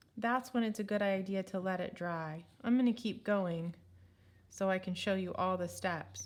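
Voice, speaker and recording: A woman speaks at a moderate pace in a plain, everyday voice, medium in pitch, with ordinary pitch variation. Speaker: art teacher. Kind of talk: tutorial.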